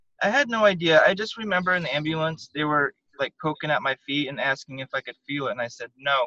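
A man talks at a very fast pace with lively intonation and a fairly high pitch. His bright, sharp tone has a dry, close sound with no echo. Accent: Southwestern US. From Arizona, Tucson. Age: 30s. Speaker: spinal cord injury survivor. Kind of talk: interview.

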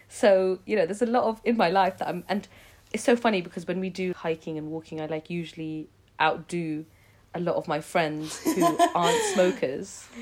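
Noticeable background noise sits behind a woman's voice. She talks at a moderate pace with a medium pitch and ordinary pitch variation. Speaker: podcast co-host. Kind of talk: casual chat.

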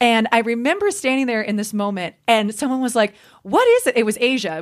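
This woman has a normal speaking voice, pitched fairly high. She moves at a fairly quick pace with lively intonation. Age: 20s. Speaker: podcast co-host. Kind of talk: casual chat.

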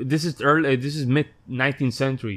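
In a very clean recording with a silent background, a man with a Spanish accent talks with ordinary pitch variation. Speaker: musician and podcaster. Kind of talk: casual chat.

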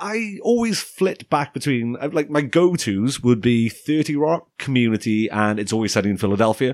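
A man's normal speaking voice at medium pitch, with lively intonation, a moderate pace and hardly any pauses. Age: 20s. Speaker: podcast host. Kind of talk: casual chat. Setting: studio.

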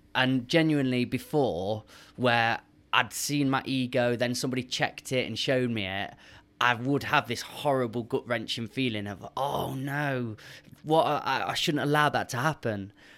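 A man with a plain, everyday voice at medium pitch, moderate pace, and ordinary pitch variation. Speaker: podcast guest. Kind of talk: casual chat.

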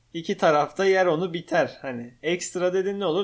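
A high-pitched man's voice at a moderate pace in a very clean recording with a silent background. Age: 20s. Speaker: podcast co-host, operations manager. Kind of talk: casual chat. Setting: home living room.

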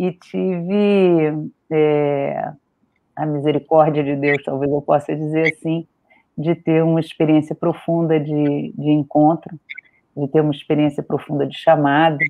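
The speaker talks at a fairly slow pace. The intonation stays fairly even. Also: woman, very deep, low pitch for a woman. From Rio de Janeiro, Brazil. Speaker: synod auditor and activist. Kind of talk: podcast interview. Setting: online live stream.

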